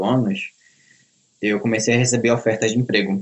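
A man speaks with monotone, flat intonation. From Belém do Pará, northern Brazil. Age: young. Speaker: self-taught programmer. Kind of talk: interview.

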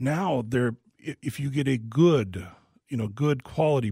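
Speaking at a fairly slow pace with lively intonation, a man has a dark, mellow, somewhat breathy tone, captured in a dry, close sound with no echo on a very clean recording with a silent background. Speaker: home remodeling specialist. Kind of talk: casual radio Q&A. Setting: studio.

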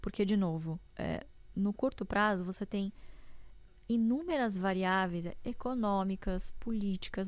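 A woman with a fairly high pitch talks very slowly, her intonation lively. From interior of São Paulo state, Brazil. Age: young. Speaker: economist and investor. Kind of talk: interview.

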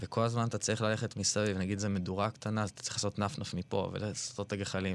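With a quiet background, a man speaks at a fairly quick pace in a fairly low, monotone voice with flat intonation. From Israel, Ra'anana. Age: 30s. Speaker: artist. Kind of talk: interview conversation. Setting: studio.

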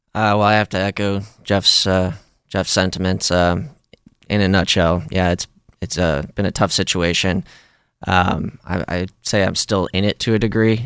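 With an American accent, a man speaks at a very deep, low pitch. His intonation is fairly even and his pace moderate. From Ohio. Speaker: army veteran. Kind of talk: interview. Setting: studio.

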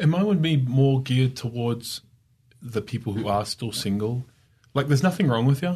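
With an Australian accent, a man speaks at a medium pitch and a moderate pace. His tone is dark and mellow, somewhat breathy, with lively intonation. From Australia, Sydney. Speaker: digital marketer. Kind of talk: casual chat.

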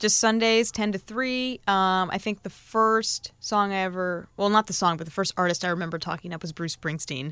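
An American-accented woman talks in an unremarkable speaking voice at a medium pitch and moderate pace, with ordinary pitch variation and hardly any pauses. The recording is very clean, its background silent. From Connecticut, US. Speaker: radio DJ. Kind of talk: casual interview. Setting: radio studio.

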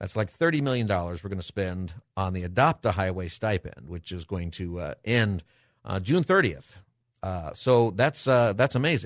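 A man's normal speaking voice, fairly low in pitch, with lively intonation and a moderate pace, recorded with a dry, close sound with no echo against a quiet background. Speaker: radio talk show host and pastor. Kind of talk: call-in talk radio. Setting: studio.

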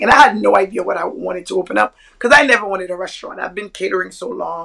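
Speaking at a fairly quick pace, a woman has a normal speaking voice with a medium pitch. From Brooklyn, New York (born in Haiti, came at seven). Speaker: chef and restaurateur. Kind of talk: casual chat.

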